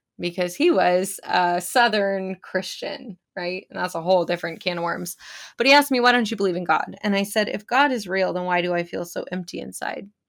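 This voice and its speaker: A woman with an American accent and a plain, everyday voice talks at a fairly quick pace, medium in pitch with ordinary pitch variation, on a very clean recording with a silent background. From California. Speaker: spiritual business coach. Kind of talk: casual interview chat.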